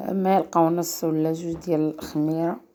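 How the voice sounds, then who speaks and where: In a Moroccan accent, a woman speaks fairly slowly with a dark, mellow tone, fairly low pitch and fairly even intonation. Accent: Moroccan Arabic (Darija). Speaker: cooking channel host. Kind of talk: cooking tutorial.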